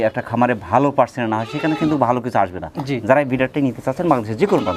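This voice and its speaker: This man has an ordinary speaking voice, pitched in the medium range and carrying ordinary pitch variation. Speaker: farm channel host. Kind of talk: channel intro; interview at goat farm.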